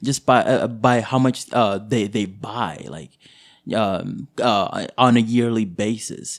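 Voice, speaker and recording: A man talks at a medium pitch with ordinary pitch variation. His pace is very slow. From Boise, Idaho, US (born in Kenyan refugee camp to Somali parents). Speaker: hospital coworker, guest. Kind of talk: casual interview chat. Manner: halting, many fillers; laughs often.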